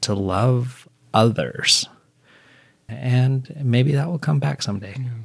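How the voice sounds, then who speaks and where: Speaking very slowly, a man leaves long, frequent pauses. His medium-pitched voice is somewhat breathy. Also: ordinary pitch variation. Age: 40s. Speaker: senior living services manager. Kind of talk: interview conversation.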